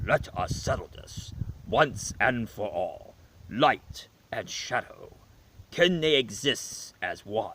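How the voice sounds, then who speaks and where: Using a put-on character voice, a man speaks at a very slow pace in a fairly high pitch. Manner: grandiose, declamatory.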